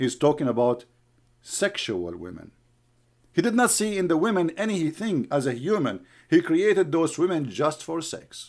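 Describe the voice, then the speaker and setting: A man with an Arabic accent speaks at a moderate pace with lively intonation and a fairly high pitch, on a very clean recording with a silent background. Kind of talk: heated livestream rant. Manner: animated.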